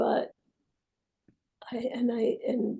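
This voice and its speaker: In a high pitch with a dark, mellow tone, a woman speaks. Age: 80s+. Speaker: psychotherapist, method co-founder. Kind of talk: casual interview conversation. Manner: halting, with many restarts.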